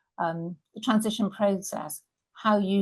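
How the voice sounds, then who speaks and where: A woman with vocal fry talks at a moderate pace, her pitch varying in an ordinary way. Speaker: business workshop trainer. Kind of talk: online workshop presentation. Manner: halting, many fillers.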